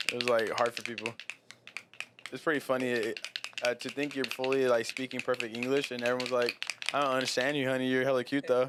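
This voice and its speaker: A man with an American accent talks very fast at a medium pitch, breaking often for long pauses. Noticeable background noise runs behind him. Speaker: podcast host. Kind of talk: casual chat. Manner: animated.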